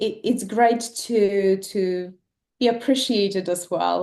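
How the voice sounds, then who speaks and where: Against a quiet background, a woman with a non-native accent speaks at a medium pitch in a dark, mellow tone with fairly even intonation. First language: not English. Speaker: esthetician, competition winner. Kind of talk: casual chat. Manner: halting, many fillers.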